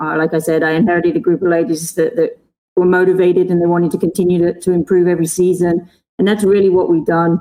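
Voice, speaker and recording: Very fast and flat in a monotone, a woman speaks at a fairly low pitch with a dark, mellow tone. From England. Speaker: college basketball coach. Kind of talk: interview.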